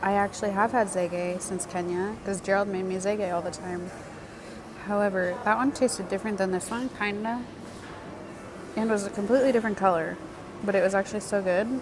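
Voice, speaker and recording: A woman at medium pitch speaks at a fairly quick pace, broken by long, frequent pauses. Audible room echo and noticeable background noise fill the recording. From United States. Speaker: travel vlogger. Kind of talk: casual vlog talk to camera. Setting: airport cafe. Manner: animated, excited.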